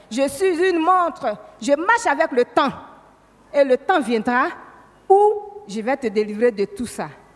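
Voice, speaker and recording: Very slowly and with long, frequent pauses, a woman speaks at a high pitch with very wide pitch swings. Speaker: church member giving testimony. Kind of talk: testimony. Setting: church.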